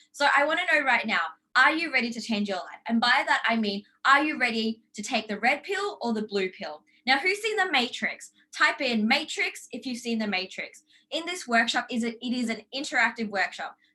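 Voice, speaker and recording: An animated woman with an Australian accent, high-pitched and bright, sharp in tone, with lively intonation and a moderate pace. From Australia, Brisbane. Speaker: life coach. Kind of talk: online workshop.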